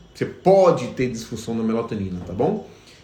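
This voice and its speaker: In a room with audible echo, a man talks in a somewhat breathy voice. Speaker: veterinarian. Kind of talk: live stream Q&A lecture. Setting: Instagram live stream. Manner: fast.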